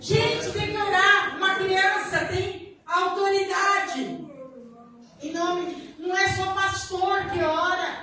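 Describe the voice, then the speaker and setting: Very slow speech from a woman at an extremely high pitch, with audible room echo. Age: 70s. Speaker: church deaconess. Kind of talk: leading prayer; sermon with testimony.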